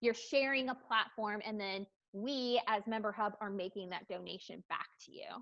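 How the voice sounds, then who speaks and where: A woman with a normal speaking voice talks at a moderate pace and fairly high pitch, with ordinary pitch variation and big swings in loudness. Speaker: platform representative presenting to a parent-teacher association. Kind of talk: online meeting presentation.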